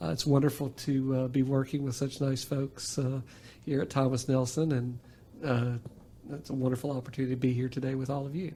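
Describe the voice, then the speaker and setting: Speaking at a fairly quick pace, a man at medium pitch has a dark, mellow, somewhat breathy tone and fairly even intonation. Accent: slight Appalachian. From southwest Virginia (Bristol, Appalachia). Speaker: college marketing coordinator. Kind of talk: podcast interview. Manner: halting, many fillers.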